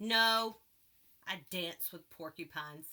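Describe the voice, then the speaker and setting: Using a put-on character voice, a woman talks at a fairly slow pace with a medium pitch. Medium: read story. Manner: friendly, chatty.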